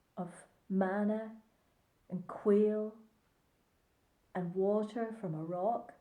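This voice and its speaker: A woman speaks very slowly with long, frequent pauses, in a Northern Irish accent. Her pitch is medium, with ordinary pitch variation. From Northern Ireland (Ballycarry, County Antrim). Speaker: church pastor and chaplain. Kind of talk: devotional reflection to camera.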